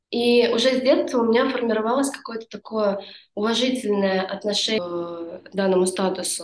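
A woman with an unremarkable speaking voice talks at a moderate pace and fairly high pitch. Her pitch varies in an ordinary way, while her loudness swings widely. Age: 20s. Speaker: yoga teacher. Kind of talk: casual interview chat.

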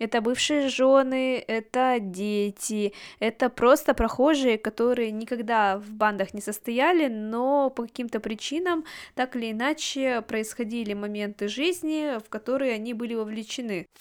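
Here is a woman with an unremarkable speaking voice, fairly high in pitch with ordinary pitch variation. Her loudness swings widely on a very clean recording with a silent background. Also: fairly slow pace. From Russia, Yekaterinburg. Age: 20s. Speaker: podcast host. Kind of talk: monologue book review.

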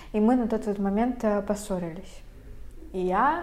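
A woman speaks at a very slow pace in a fairly high voice with ordinary pitch variation. Room echo is audible. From Russia, Veliky Novgorod. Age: young. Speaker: podcast co-host, university student. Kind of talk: casual chat.

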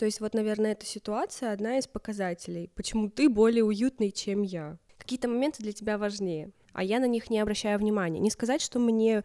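At a moderate pace, a woman with a fairly high pitch and a dark, mellow tone speaks with ordinary pitch variation, the sound dry and close with no echo. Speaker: podcast co-host. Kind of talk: casual chat. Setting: recording at home.

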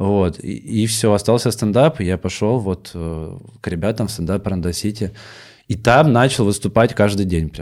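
A man with a normal speaking voice, fairly low in pitch with ordinary variation, at a moderate pace on a very clean recording with a silent background. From Russian village. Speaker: stand-up comedian. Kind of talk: casual chat. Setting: studio.

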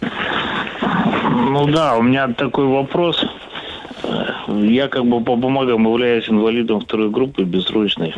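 Speech comes at a very slow pace with ordinary pitch variation and very even loudness, over noticeable background noise. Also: man, medium pitch for a man. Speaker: caller. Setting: phone call.

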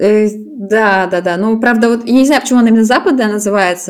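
This woman has an ordinary speaking voice at a medium pitch. She talks at a moderate pace with fairly even intonation. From Russia, St Petersburg. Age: 20s. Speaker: podcast co-host. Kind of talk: casual chat.

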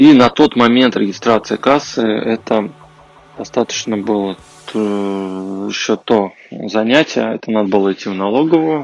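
Fairly low-pitched and unhurried, this man talks at a fairly slow pace with ordinary pitch variation. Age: 30s. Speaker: podcast host, IT engineer. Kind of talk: solo podcast monologue. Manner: halting, with filler sounds.

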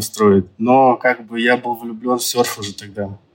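A man speaking at a fairly slow pace. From Yakutia, Russia. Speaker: businessman, surf centre founder. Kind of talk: interview. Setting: remote call from Dubai.

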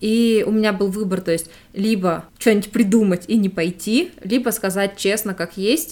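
A woman has an ordinary speaking voice, talking at a moderate pace with ordinary pitch variation. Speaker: podcast host. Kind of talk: casual chat.

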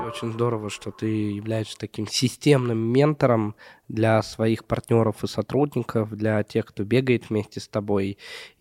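A man's medium-pitched voice, flat and monotone, with a dry, close sound and no echo. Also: fairly slow pace. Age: 30s. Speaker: podcast co-host, entrepreneur. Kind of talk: casual interview.

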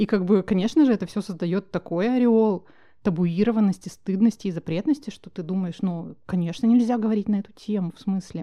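At a moderate pace, a woman speaks in a dark, mellow, medium-pitched voice with ordinary pitch variation. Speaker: podcast host, founder of menstrual hygiene brand. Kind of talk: casual chat.

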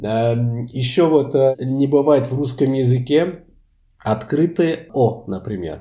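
A man with a Portuguese accent speaks very slowly at medium pitch, somewhat breathy, with a dark, mellow tone and lively intonation. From France. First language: Portuguese (speaking Russian). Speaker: language lecturer. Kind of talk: interview.

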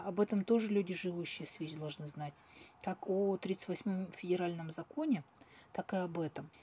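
In a plain, everyday voice, a woman speaks at a medium pitch and moderate pace with ordinary pitch variation. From Russia, Tyumen. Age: 40s. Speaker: clinical psychologist. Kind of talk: interview.

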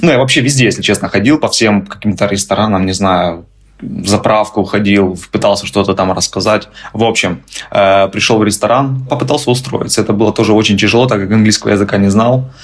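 A man talks fairly quickly at a fairly low pitch, with ordinary pitch variation, and noticeable background noise is present. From Ukraine. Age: 30s. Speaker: immigrant, tour guide. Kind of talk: interview, casual chat.

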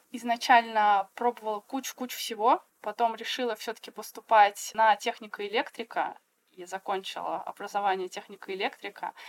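A woman talks at a fairly high pitch with fairly even intonation and big swings in loudness. The sound is dry and close, with no echo. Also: moderate pace. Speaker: textile artist. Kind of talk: casual chat. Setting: video call.

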